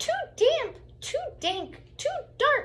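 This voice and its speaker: Squeaky and extremely high-pitched, a woman performs a put-on character voice with very wide pitch swings. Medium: read story.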